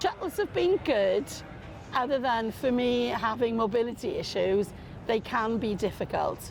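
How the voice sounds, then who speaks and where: Speaking at a fairly slow pace, a woman with a Welsh accent has a fairly high pitch. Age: 60s. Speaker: football fan. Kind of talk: interview testimony.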